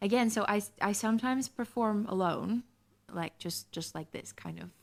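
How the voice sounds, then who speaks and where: In a very clean recording with a silent background, a woman with a non-native accent speaks at medium pitch and a moderate pace, with ordinary pitch variation. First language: not English. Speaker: singer-songwriter. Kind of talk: radio interview. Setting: radio studio.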